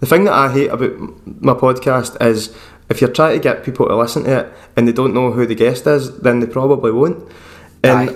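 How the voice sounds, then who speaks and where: A man with a Lanarkshire accent talks at a fairly quick pace. His pitch is medium and his intonation fairly even. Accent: Scottish (Lanarkshire). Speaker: podcast host and bass player. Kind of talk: casual chat. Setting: video call.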